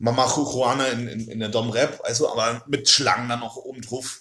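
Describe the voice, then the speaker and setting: At a moderate pace, a man talks in a normal speaking voice, medium in pitch, with fairly even intonation. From Oldenburg, northern Germany. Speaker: podcast guest, student. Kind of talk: casual chat.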